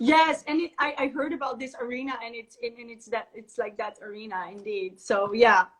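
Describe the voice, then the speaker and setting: Speaking in a Dutch accent, a woman talks at a fairly quick pace with hardly any pauses. Her voice is high with ordinary pitch variation and big swings in loudness. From Netherlands. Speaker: natural therapist and raw vegan chef. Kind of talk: casual interview. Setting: video call livestream. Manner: halting.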